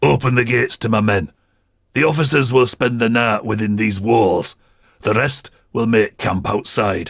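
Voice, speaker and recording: A man puts on a raspy character voice at a medium pitch. He keeps a moderate pace, and the sound is dry and close with no echo. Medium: read story. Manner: commanding, measured, formal.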